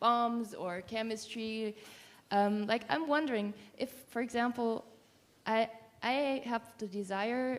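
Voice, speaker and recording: With a non-native accent, the speaker goes at a very slow pace, with fairly even intonation and long, frequent pauses. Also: woman, fairly high pitch for a woman. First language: not English. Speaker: workshop participant. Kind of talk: audience question. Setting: live workshop with audience. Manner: halting.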